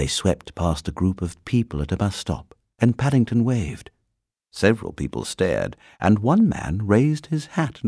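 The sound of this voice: With lively intonation, this is an unforced reading voice heard against a quiet background.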